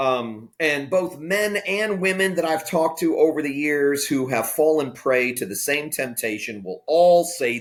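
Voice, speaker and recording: This man has an unremarkable speaking voice, pitched fairly high, with lively intonation. He talks at a fairly slow pace. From Florida. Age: 50s. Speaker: pastor. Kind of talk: interview conversation. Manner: candid, conversational.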